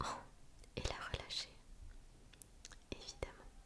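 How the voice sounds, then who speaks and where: A woman whispering, with noticeable background noise. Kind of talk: true crime storytelling. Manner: whispered, soft.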